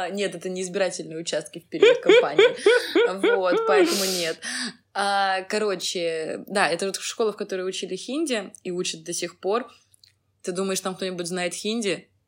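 Using a plain, everyday voice, this woman talks at a moderate speed, her pitch in the medium range for a woman and varying in an ordinary way. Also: big swings in loudness. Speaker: podcast co-host, historian. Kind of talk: casual chat.

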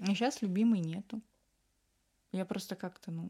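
Her intonation lively, a woman speaks at a moderate pace and medium pitch. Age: 20s. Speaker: illustrator. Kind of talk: interview.

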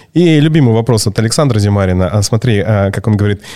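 A man's very fast, lively-toned delivery. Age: 40s. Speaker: podcast host. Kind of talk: casual chat. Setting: studio.

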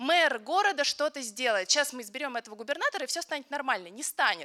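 This voice is raised and projected, bright and sharp in tone, with lively intonation at a very fast pace. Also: woman. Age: 20s. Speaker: photojournalist. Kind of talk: panel discussion.

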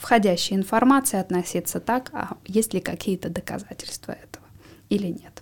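Her medium-pitched voice, a normal speaking voice, shows ordinary pitch variation as this woman speaks. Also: very clean recording, silent background. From Siberia, Russia. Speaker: psychologist. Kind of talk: expert interview.

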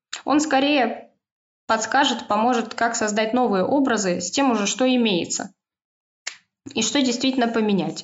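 Long, frequent pauses break up the speech of a woman with a fairly high voice, talking at a moderate pace with ordinary pitch variation. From Moscow, Russia. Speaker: stylist and knitwear consultant. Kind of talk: casual chat.

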